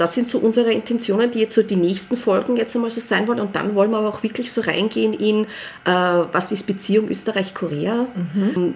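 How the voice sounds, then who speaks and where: At a fairly quick pace, a woman uses an ordinary speaking voice, her fairly high pitch varying in an ordinary way. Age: 40s. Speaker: early childhood educator. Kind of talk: casual chat.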